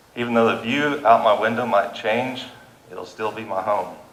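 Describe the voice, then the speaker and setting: A man with a Kansas accent at a moderate pace, amid noticeable background noise and audible room echo. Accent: Midwestern US, Kansas. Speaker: farmer and landowner speaking at public meeting. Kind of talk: public comment at county meeting. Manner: halting.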